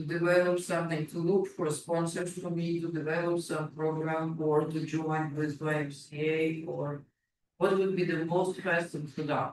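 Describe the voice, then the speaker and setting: At a moderate pace, a man with a non-native accent speaks in a fairly high pitch and a monotone, flat intonation. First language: not English. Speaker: public delegate at council meeting. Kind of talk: public delegation Q&A. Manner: halting.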